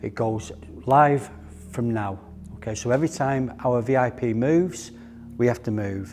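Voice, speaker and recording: A man with a Manchester accent at medium pitch, moderate pace and ordinary pitch variation, with long, frequent pauses and music in the background. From northern England, Middleton, Greater Manchester. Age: 60s. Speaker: bodyguard trainer. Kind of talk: training instructions and interview.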